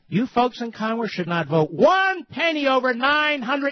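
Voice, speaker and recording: The delivery is passionate and comes at a fairly slow pace. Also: man. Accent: American. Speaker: talk radio host. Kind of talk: political talk radio monologue. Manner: sarcastic, emphatic, passionate.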